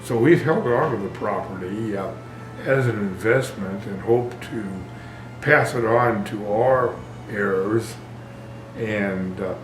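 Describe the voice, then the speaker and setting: At a very slow pace with long, frequent pauses, the voice shows ordinary pitch variation over noticeable background noise. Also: man, medium pitch for a man. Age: 80s+. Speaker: property owner. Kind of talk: interview answer.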